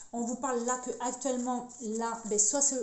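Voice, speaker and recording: A woman's voice in a room with audible echo and noticeable background noise. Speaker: tarot card reader. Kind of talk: card reading monologue. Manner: fast; halting, many repetitions.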